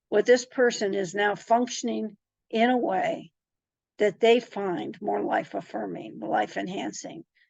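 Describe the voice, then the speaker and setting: A woman with a fairly high pitch and vocal fry speaks at a fairly slow pace with lively intonation. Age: 70s. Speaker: institute director leading a discussion group. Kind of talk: reflective monologue to a discussion group. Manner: halting, with frequent restarts and fillers.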